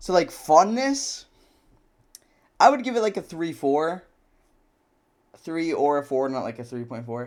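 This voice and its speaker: A man talks at a fairly slow pace, leaving long, frequent pauses. His high voice swings very widely in pitch and shows big swings in loudness. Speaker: gaming youtuber. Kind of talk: casual gameplay commentary. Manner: casual, slangy.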